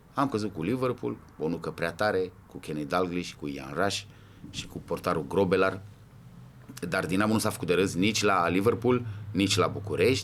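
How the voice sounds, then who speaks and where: Moderate pace and ordinary pitch variation. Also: man, very deep, low pitch for a man. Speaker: football ultras veteran. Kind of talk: podcast interview.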